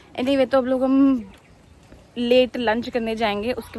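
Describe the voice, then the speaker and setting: A woman speaks loudly. Her pitch is high. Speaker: travel vlogger. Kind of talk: casual vlog. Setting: outdoors.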